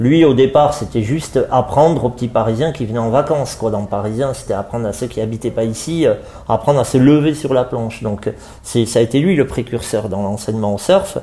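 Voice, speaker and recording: Ordinary pitch variation marks a man's speech, delivered at a fairly quick pace. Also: medium pitch for a man. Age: 40s. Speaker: surf club director. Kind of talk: interview. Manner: halting, many fillers.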